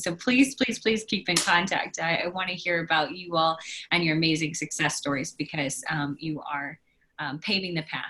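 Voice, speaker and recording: A plain, everyday voice from a woman with an American accent, fairly low in pitch, with ordinary pitch variation and a moderate pace. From Oklahoma. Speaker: academic advisor. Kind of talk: casual chat.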